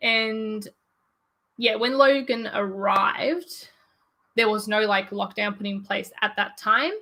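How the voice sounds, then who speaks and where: A woman with an Australian accent speaks at a very slow pace in a fairly high pitch. Her tone is bright and sharp, and her pitch varies in an ordinary way. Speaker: YouTuber. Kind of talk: casual chat. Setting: livestream. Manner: halting.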